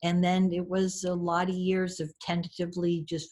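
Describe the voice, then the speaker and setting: A woman at a moderate pace with a fairly low pitch. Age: 60s. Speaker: storyteller and author. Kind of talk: podcast interview.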